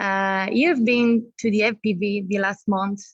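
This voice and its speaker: In an Italian accent, a woman speaks at medium pitch against a quiet background. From Italy. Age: 30s. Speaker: youth exchange group leader. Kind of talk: casual chat.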